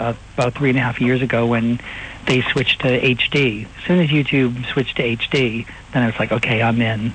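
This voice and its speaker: A man with an American accent talks at a fairly quick pace in a medium pitch, his intonation fairly even, with noticeable background noise behind him. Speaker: impersonator and comedian. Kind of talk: interview. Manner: hesitant, many fillers.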